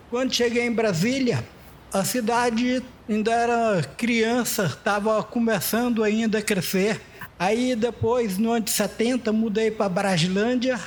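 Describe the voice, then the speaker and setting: Fairly slow and fairly even in intonation, a man talks at a high pitch. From Brazil, Goiás / Federal District (Brazlândia). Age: 60s. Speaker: artisan. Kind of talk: interview testimony. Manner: halting, with fillers.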